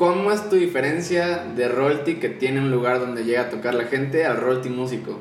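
Through audible room echo and noticeable background noise, a man with a fairly high voice speaks at a moderate pace with lively intonation. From Chiapas, Mexico. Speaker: podcast co-host. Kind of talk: casual chat. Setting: studio.

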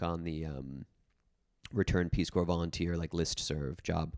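A man with an American accent talks at a moderate pace in a very deep, low pitch. The recording is very clean, with a silent background. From New Jersey, rural area. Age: 30s. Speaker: psychotherapist. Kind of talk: interview conversation.

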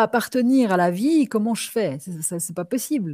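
In a very clean recording with a silent background and a dry, close sound with no echo, a woman speaks at a fairly slow pace with medium pitch, lively intonation, a somewhat breathy quality and a dark, mellow tone. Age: 50s. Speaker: ecotherapist and shaman. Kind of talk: interview conversation.

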